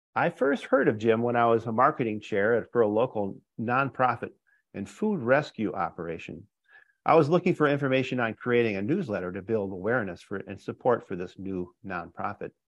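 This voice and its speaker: Using an ordinary speaking voice, a man talks at a fairly quick pace and medium pitch with lively intonation. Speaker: podcast host. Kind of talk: interview.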